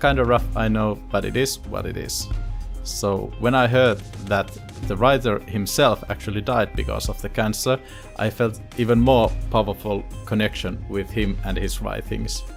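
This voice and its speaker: Music plays in the background. A man talks at a moderate pace. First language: Finnish. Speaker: YouTuber, cancer survivor. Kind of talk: casual talk to camera, storytime.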